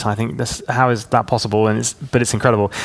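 Talking at a very fast pace, a man with a southern English accent uses ordinary pitch variation over noticeable background noise. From southern England (Hampshire), teens in Hong Kong. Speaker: pastor. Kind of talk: interview.

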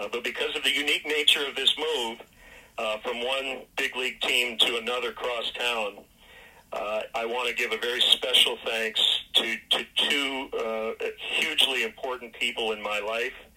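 Medium pitch from a man, with noticeable noise in the background. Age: 50s. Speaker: baseball play-by-play announcer. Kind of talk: radio interview.

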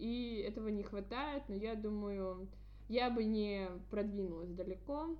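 The speech moves at a very slow pace with long, frequent pauses, and audible room echo surrounds it. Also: woman. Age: 20s. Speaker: podcast host, student. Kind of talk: casual chat.

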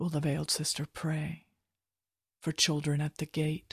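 A somewhat breathy woman's voice, very deep and low in pitch, solemn in tone, with a dry, close sound, no echo, and a very clean recording over a silent background. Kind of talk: poem reading. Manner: slow, solemn, meditative delivery.

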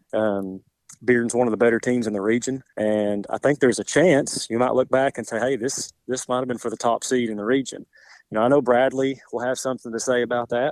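On a very clean recording with a silent background, a man with an unremarkable speaking voice talks at a fairly quick pace in a medium pitch, with fairly even intonation. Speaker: high school football coach. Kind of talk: interview with a radio host.

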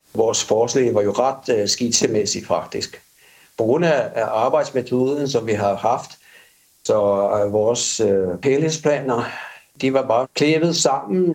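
This man talks very slowly at a medium pitch, his loudness very even and his pitch varying in an ordinary way. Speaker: architect. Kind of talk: interview.

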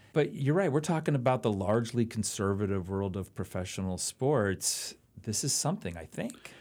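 In a plain, everyday voice, a man speaks at a moderate pace and medium pitch with lively intonation, on a very clean recording with a silent background. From Oakland, California. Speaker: history professor and podcast co-host. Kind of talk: casual chat.

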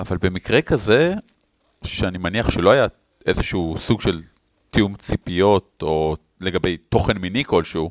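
Fairly slow delivery with ordinary pitch variation, long and frequent pauses, and a dry, close sound free of echo. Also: man, very deep, low pitch for a man. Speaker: podcast co-host. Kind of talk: casual chat.

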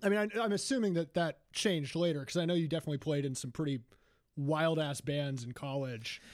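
Talking at a fairly quick pace with ordinary pitch variation, a man with a fairly high pitch has an ordinary speaking voice, captured on a very clean recording against a silent background. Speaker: podcast host. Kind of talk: casual interview.

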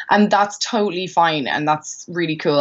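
In an Irish accent, a woman speaks at a fairly quick pace. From Ireland, Maynooth (teen years in West Africa). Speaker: singer-songwriter. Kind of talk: casual interview. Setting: call.

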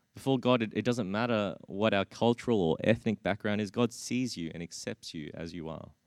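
A man speaks fairly quickly with an Australian accent, his pitch fairly low and its variation ordinary, with hardly any pauses. The sound is dry and close with no echo, over a quiet background. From Australia (Brisbane), Australian-born Chinese. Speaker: preacher. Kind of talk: sermon. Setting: church. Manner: halting, frequent repetitions.

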